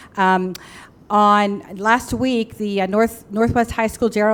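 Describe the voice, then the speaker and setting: At a fairly slow pace, a woman talks with fairly even intonation in an unremarkable speaking voice. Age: 60s. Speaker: school board member. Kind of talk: public meeting remarks. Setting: board meeting.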